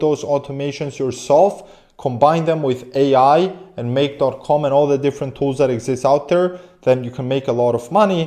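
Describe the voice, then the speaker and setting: Speaking fairly quickly with a non-native accent, a man uses a fairly high pitch, a dark, mellow tone and ordinary pitch variation. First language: not English. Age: 20s. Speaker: business coach and AI automation agency owner. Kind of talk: online business tutorial. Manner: animated.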